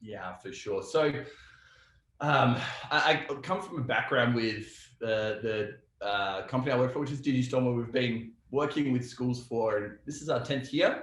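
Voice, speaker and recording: A man with an Australian accent at a moderate pace, with audible room echo. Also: medium pitch for a man, ordinary pitch variation. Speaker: software company representative. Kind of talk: casual interview.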